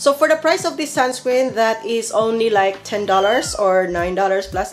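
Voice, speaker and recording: A woman with an ordinary speaking voice talks at a moderate pace with lively intonation and hardly any pauses. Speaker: skincare vlogger and nurse. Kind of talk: product review vlog.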